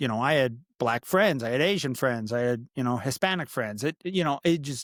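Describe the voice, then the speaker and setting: On a very clean recording with a silent background and a dry, close sound with no echo, a man of medium pitch speaks at a moderate pace with lively intonation. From Upper Michigan, military bases and North Dakota. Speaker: podcast co-host. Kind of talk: casual chat.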